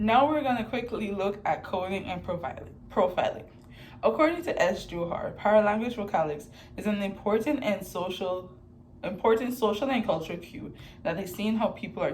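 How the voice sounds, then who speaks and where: Amid audible room echo, a woman with a medium-pitched voice speaks at a moderate pace with lively intonation. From Sint Maarten, Caribbean. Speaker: student. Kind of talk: class presentation.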